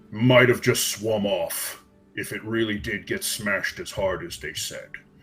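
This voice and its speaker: A man puts on a growling character voice at medium pitch and a moderate pace. Faint music plays in the background. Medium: actual play. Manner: snarling, menacing.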